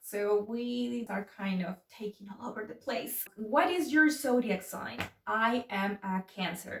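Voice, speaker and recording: A woman with a fairly high pitch speaks at a fairly slow pace with hardly any pauses, her lively intonation and animated tone carried by big swings in loudness. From Mexico City. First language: Spanish. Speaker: YouTuber. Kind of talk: casual chat.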